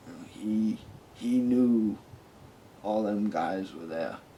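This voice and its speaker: Amid audible room echo, a man with a fairly low pitch and a dark, mellow tone speaks at a very slow pace. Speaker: army veteran. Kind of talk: testimony.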